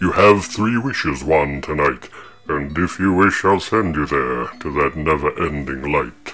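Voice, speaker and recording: Putting on a character voice, a man speaks at a moderate pace with a very deep, low pitch. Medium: read story. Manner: grand, theatrical.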